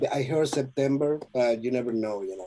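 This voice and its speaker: With a Spanish accent, a man speaks at medium pitch in a dark, mellow tone with lively intonation. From Venezuela. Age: 50s. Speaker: trumpet player. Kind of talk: interview. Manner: halting, many repetitions and fillers.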